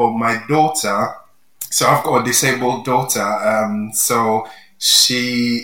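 In a Yoruba accent, a man speaks with fairly even intonation. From Nigeria. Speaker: library staff co-host. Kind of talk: casual chat.

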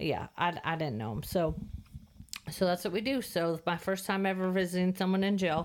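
Speaking at a fairly quick pace with an American accent, a woman uses an ordinary speaking voice, medium pitch and ordinary pitch variation. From California. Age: 40s. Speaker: host's wife, guest. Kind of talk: testimony. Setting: studio.

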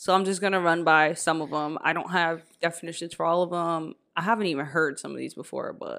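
A woman with a fairly low pitch has an unremarkable speaking voice and fairly even intonation. She moves at a fairly quick pace in a very clean recording with a silent background. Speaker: podcast host. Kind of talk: casual chat.

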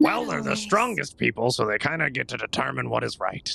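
In a raspy, put-on character voice, someone delivers lines at a fairly quick pace. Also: man. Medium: actual play. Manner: brash, fast-talking.

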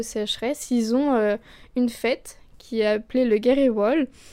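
A woman's high voice with a dark, mellow tone keeps fairly even intonation at a fairly slow pace, on a very clean recording with a silent background. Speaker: university student, culture columnist. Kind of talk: prepared column. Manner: soft-spoken.

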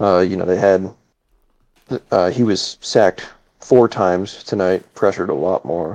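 A man's very deep, low pitch with fairly even intonation and long, frequent pauses, in a dry, close sound with no echo. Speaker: sports podcast panelist. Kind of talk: casual chat. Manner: slow.

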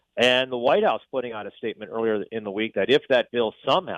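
Here a man with a plain, everyday voice speaks at medium pitch and a fairly quick pace. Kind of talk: interview. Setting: phone call.

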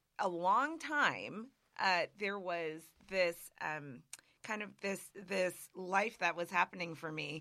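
A woman with an American accent speaks at a very slow pace in a bright, sharp tone. The recording is very clean, with a silent background. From Massachusetts, Springfield. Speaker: entrepreneur. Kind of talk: interview.

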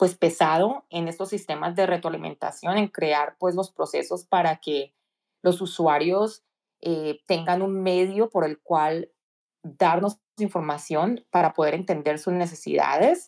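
A woman's fairly low, dark, mellow voice at a fairly slow pace with fairly even intonation, dry and close with no echo on a very clean recording with a silent background. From Colombia, Cali. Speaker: tech professional. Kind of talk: interview.

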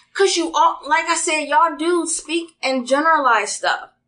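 A woman with an extremely high pitch and a bright, sharp tone projects her raised voice at a fairly slow pace. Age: 30s. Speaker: podcast guest. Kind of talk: casual chat.

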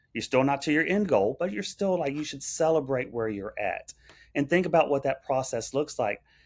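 A man speaks at a moderate pace with a Texan accent, his fairly high pitch carried by lively intonation on a very clean recording with a silent background. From central Texas. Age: 40s. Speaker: restaurant owner-operator. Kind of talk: interview conversation.

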